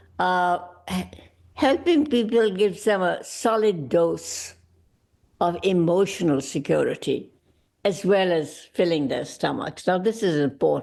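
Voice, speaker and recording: A woman with a medium pitch and vocal fry talks at a fairly slow pace, her intonation lively. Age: 80s+. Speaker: gala speaker. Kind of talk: speech.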